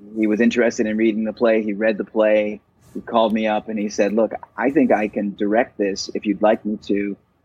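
Here a man talks at a fairly quick pace with an American accent. His pitch is fairly low and his intonation monotone and flat. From Virginia, US (Roanoke). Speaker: actor and playwright. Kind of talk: interview.

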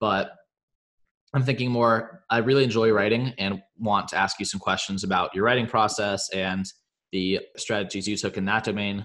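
At a moderate pace, an unremarkable speaking voice delivers fairly even intonation over a quiet background. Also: man, fairly low pitch for a man. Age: 20s. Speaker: podcast co-host, college student. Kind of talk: interview.

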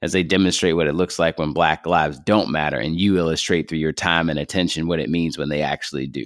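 Very deep and low, a man's voice carries vocal fry and fairly even intonation at a very fast pace. The recording is very clean, with a silent background. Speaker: podcast host and poet. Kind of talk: spoken word poetry, read aloud with rhythmic cadence and a sermon-like, fervent build. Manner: solemn, defiant, building to a resolute close.

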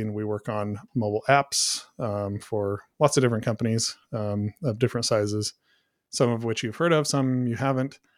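Set against a silent background on a very clean recording, an ordinary speaking voice comes in an American accent. It moves at a moderate pace with fairly even intonation. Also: man. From US Pacific Northwest. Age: 40s. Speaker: software company co-founder. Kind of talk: casual interview conversation.

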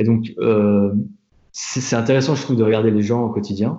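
A man's fairly low voice, moderately paced, with fairly even intonation. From France, Tours. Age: 20s. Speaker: product designer. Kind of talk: interview. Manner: halting, many fillers and repetitions.

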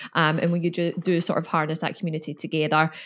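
A woman speaks at a very fast pace. The recording is very clean with a silent background. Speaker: podcast host. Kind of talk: casual interview.

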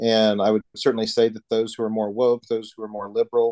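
Against a quiet background, a man with a Texan accent speaks at a fairly quick pace, his fairly low voice dark and mellow in a dry, close sound with no echo. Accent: Texan American English. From Texas. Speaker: Orthodox priest. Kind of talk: casual interview.

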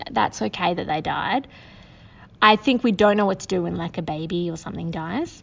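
In an Australian accent, a woman speaks at a fairly low pitch and a moderate pace. Her voice shows vocal fry and very wide pitch swings. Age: 30s. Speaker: social worker. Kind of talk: casual chat.

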